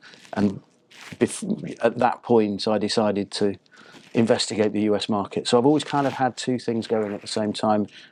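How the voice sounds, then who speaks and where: A man with a British accent talks at a moderate pace with fairly even intonation and fairly low pitch. The recording is very clean, with a silent background. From northern England, Harrogate near Leeds. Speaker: marketing consultant. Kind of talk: interview.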